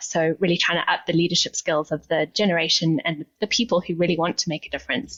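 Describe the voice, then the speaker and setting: With a South African accent, a woman speaks at a fairly quick pace and a fairly low pitch. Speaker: nonprofit CEO, sustainability leader. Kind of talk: interview.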